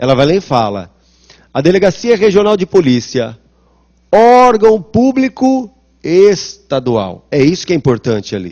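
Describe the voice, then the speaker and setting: Speaking at a moderate pace, a man moves through very wide pitch swings. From São Paulo city, Brazil. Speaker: law professor. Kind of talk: lecture. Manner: conversational, rhetorical questions.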